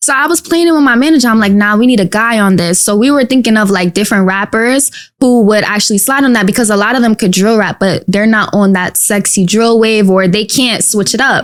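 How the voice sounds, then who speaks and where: A woman with a New York accent, fairly high pitch, a fairly quick pace, ordinary pitch variation and very even loudness. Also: hardly any pauses. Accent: New York City. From Queens, New York City. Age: 20s. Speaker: rapper. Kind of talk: casual interview. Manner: animated.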